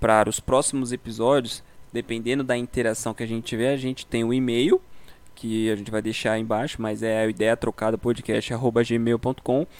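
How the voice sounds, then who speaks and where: Flat, monotone delivery from a male speaker pitched in the middle range. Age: 20s. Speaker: podcast co-host. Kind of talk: casual chat. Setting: video call from home.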